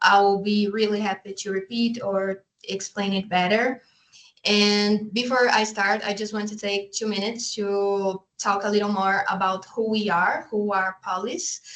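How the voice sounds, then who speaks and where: Monotone and flat, a woman's medium-pitched voice moves at a fairly slow pace. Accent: Brazilian. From Brazil. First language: Portuguese. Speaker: oceanographer and NGO waste management specialist. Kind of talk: conference presentation.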